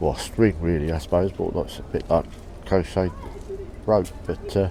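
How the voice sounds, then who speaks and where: A man's very deep, low voice at a moderate pace with fairly even intonation, over noticeable background noise. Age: 60s. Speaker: travel vlogger and postcard collector. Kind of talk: casual vlog commentary. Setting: outdoors on a seaside pier among crowds.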